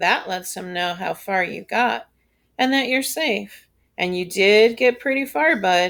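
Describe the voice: Against a quiet background, the voice offers plain reading aloud.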